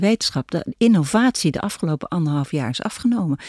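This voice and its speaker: At a very fast pace, a woman speaks in a fairly low pitch with a dark, mellow tone and very wide pitch swings. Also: dry, close sound with no echo. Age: 60s. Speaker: philosopher. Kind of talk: casual chat. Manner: halting.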